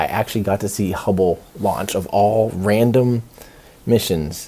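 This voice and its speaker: A man uses a put-on character voice that sounds raspy. He goes at a moderate pace. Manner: drowsy.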